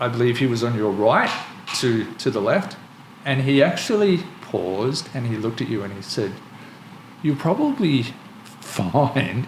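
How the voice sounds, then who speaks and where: Over noticeable background noise, a man speaks at a fairly slow pace and a medium pitch. His voice makes very wide pitch swings. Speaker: podcast host. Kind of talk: podcast conversation.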